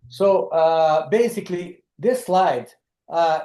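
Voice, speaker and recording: This voice has a dark, mellow tone and a Brazilian Portuguese accent, delivered at a very slow pace. The background is quiet. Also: man. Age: 70s. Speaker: lodge founder. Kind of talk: webinar presentation. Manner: halting, many fillers.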